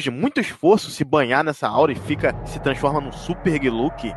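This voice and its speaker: A man speaks at a fairly quick pace in a fairly high pitch, with lively intonation, an animated tone and vocal fry. The sound is dry and close with no echo, over a quiet background. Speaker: podcast host. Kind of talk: casual chat.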